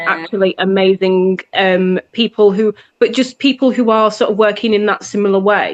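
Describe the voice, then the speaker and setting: This woman has a plain, everyday voice at a medium pitch, with fairly even intonation and very even loudness at a moderate pace. The sound is dry and close, with no echo. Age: 40s. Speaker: singer-songwriter. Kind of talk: interview answer.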